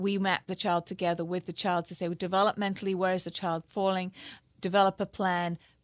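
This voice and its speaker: Speaking fast, a woman with an English accent holds a medium pitch in monotone, flat intonation. The sound is dry and close with no echo, over a quiet background. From England. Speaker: childhood brain development specialist. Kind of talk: radio interview. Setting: studio.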